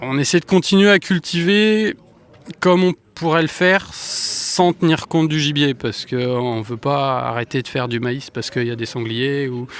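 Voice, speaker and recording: With an unremarkable speaking voice, a man talks at a moderate pace, his fairly high pitch carrying lively intonation. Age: young. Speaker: farmer. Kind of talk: interview.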